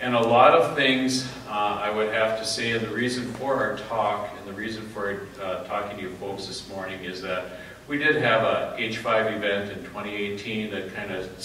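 A man with a fairly low voice speaks at a moderate pace and with fairly even intonation, his words carrying audible room echo over light background noise. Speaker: conference presenter. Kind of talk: lecture. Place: hall. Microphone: camera far.

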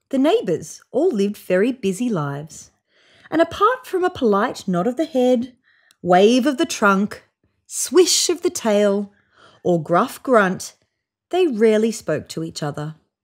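A woman speaks at medium pitch and a fairly slow pace, with big pitch swings. The recording is very clean, with a silent background.

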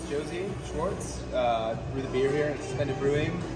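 Loud music plays in the background as a man talks at a fairly quick pace with ordinary pitch variation. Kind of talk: interview answer. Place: bar. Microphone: phone near.

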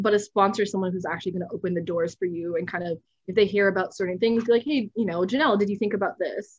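A woman with a Canadian accent, very fast and with hardly any pauses, somewhat breathy, with ordinary pitch variation, in a dry sound with no echo against a quiet background. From Canada. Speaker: software founder and nonprofit director; guest. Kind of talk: interview. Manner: animated. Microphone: webcam.

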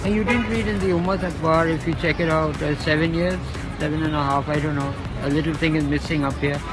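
Over clear music in the background, a man talks at a very fast pace, and the sound is dry with no echo. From Lahore, Pakistan. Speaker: street interviewee. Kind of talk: interview answer. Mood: earnest, sad life story. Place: street. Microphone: phone near.

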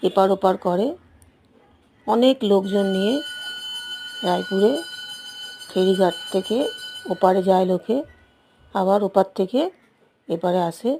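In an ordinary speaking voice, a woman speaks at a medium pitch with fairly even intonation. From West Bengal, South 24 Parganas. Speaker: travel vlogger. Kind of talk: travel vlog narration. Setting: outdoors.

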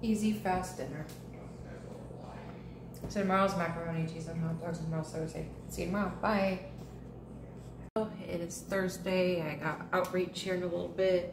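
A woman speaks at a moderate pace with fairly low pitch and fairly even intonation. Long, frequent pauses break up her speech, and background noise is clear.

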